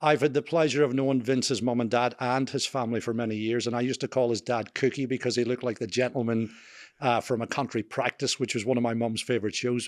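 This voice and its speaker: A man speaks at a very fast pace against a quiet background. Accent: strong Scottish. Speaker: podcast host. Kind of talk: interview. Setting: on camera.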